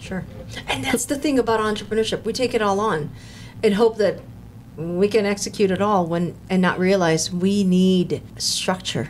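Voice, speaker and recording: Over noticeable background noise, someone with an American accent speaks at a moderate pace. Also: woman, medium pitch for a woman, ordinary pitch variation. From US, Filipino American. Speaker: podcast host, procurement consultant. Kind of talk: interview podcast. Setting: studio.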